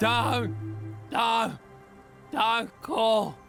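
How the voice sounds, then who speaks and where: A shaky, put-on character voice over clear music in the background. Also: man, high pitch for a man. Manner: trembling, growing weaker.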